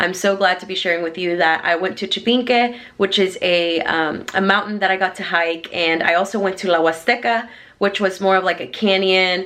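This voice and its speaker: A woman's bright, sharp, upbeat voice with a Texan accent, fairly low in pitch, at a moderate pace. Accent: Texan American English. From Houston, Texas. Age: 20s. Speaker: lifestyle vlogger. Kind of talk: casual talk to camera.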